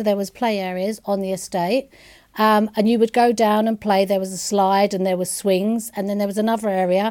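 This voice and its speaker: In a London accent, a woman speaks at a moderate pace in a dark, mellow tone with monotone, flat intonation. The recording is very clean, with a silent background. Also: medium pitch for a woman. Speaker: interviewee sharing childhood memories. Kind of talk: oral history interview.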